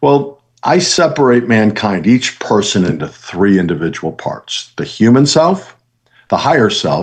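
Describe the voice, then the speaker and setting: A man with an American accent speaks in a plain, everyday voice at a medium pitch, his intonation lively. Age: 60s. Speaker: motivational speaker and author. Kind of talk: motivational talk.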